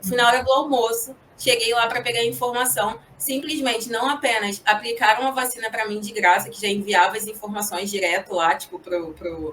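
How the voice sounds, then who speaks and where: With a Rio de Janeiro accent, a woman speaks at a moderate pace in a fairly high pitch. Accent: Rio de Janeiro (carioca). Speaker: corporate professional. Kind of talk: casual interview.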